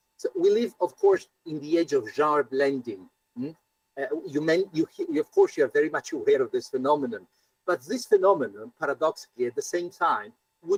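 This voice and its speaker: A man talks at a moderate pace in a dry, close sound with no echo. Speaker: professor. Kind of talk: academic Q&A discussion. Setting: conference, hybrid. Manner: halting, many fillers and repetitions.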